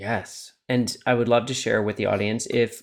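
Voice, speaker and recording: A man with a plain, everyday voice and a medium pitch is heard in a very clean recording with a silent background. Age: 40s. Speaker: photographer and confidence coach. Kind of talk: casual chat.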